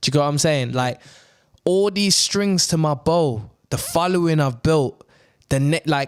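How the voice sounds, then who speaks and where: Speaking at a moderate pace with a Birmingham accent, this voice holds a very even loudness and ordinary pitch variation. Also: man, fairly high pitch for a man. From Birmingham, England. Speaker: actor and radio presenter. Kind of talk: casual chat.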